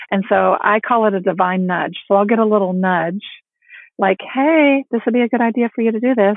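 With an unremarkable speaking voice, a woman talks at a fairly quick pace, her pitch fairly high and her pitch variation ordinary. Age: 50s. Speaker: empowerment coach and author. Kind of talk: interview.

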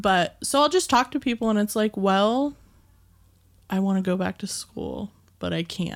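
In a very clean recording with a silent background, a woman talks at a moderate pace with ordinary pitch variation and long, frequent pauses. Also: medium pitch for a woman. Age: 20s. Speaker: podcast guest, listener. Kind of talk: casual chat. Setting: studio.

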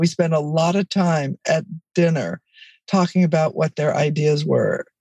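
Somewhat breathy with a dark, mellow tone, a woman talks at a moderate pace with a Californian accent, recorded dry and close with no echo. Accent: Californian American. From US, East Los Angeles. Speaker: author and educator. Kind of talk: interview.

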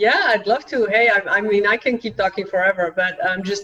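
Noticeable background noise runs behind a woman with a Dutch accent. She talks at a moderate pace and medium pitch. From Belgium. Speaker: author and cultural trainer. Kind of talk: casual interview.

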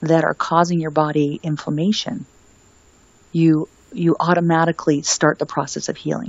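This woman talks at a moderate pace with a fairly low pitch. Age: 50s. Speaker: wellness author and retreat owner. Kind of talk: casual interview chat.

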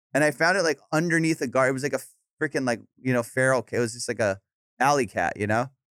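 In a Southern California accent, a man talks at a very fast pace with an animated tone. His pitch is medium, with ordinary variation, and the sound is dry and close with no echo. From Orange County, California. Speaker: comedian. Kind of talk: casual chat.

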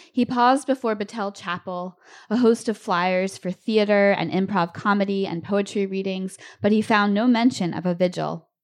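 An unremarkable speaking voice from a woman with an American accent, medium pitch, fairly even intonation and a moderate pace against a quiet background. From Lancaster, Pennsylvania. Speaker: author. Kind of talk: reading aloud. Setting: stage with audience.

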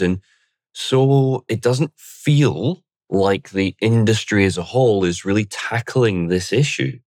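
In a very clean recording with a silent background and a dry, close sound with no echo, a man with a fairly low voice talks in a normal speaking voice with lively intonation at a fairly slow pace. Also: very even loudness. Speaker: podcast host. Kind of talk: interview.

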